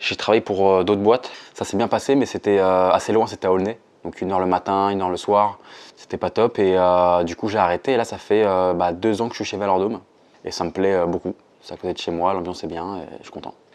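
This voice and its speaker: Over a quiet background, a man with a very deep, low pitch speaks at a very fast pace with fairly even intonation. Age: 20s. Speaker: building renovation salesman. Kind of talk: interview testimony. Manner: hesitant, many fillers; casual.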